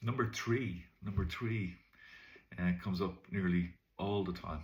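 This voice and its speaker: Pausing long and often, a man with a Dublin accent talks in a very deep, low, somewhat breathy voice. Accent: Irish (Dublin). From Ireland. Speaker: English teacher. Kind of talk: tutorial. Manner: casual, hesitant with fillers.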